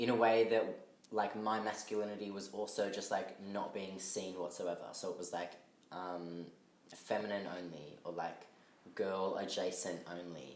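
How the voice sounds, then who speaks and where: A man speaks at a fairly low pitch with fairly even intonation. Room echo is audible. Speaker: artist. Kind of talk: casual chat. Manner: halting.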